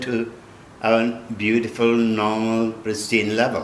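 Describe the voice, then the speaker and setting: Audible room echo and light background noise accompany speech at a fairly slow pace. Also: man. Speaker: spiritual teacher. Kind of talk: interview answer. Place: home room.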